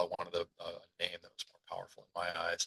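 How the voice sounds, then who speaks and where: The recording is dry and close, without echo. A man talks at moderate speed. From New York City, the Bronx. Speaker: business consultant and coach. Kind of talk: podcast interview.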